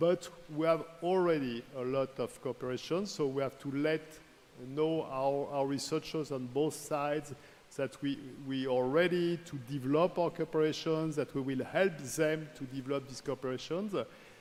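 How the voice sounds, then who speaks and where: At a moderate pace, a man with a fairly high voice speaks with fairly even intonation. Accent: French. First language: French. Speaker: research organization director. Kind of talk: formal speech. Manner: halting.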